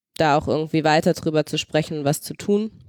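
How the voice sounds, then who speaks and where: In a very clean recording with a silent background, a woman with a very deep, low voice speaks in a dry, close sound with no echo. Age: 20s. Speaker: daughter of a wheelchair user. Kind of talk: casual chat.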